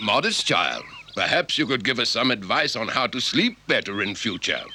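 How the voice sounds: Booming, cartoonish character voice from a man, medium in pitch, with a bright, sharp tone, big pitch swings, a moderate pace and faint background noise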